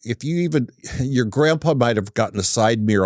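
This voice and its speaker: A man with a plain, everyday voice, fairly quick pace, and dry, close sound with no echo. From Northern California, Humboldt County. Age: 60s. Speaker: auto repair business owner. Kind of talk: casual interview chat.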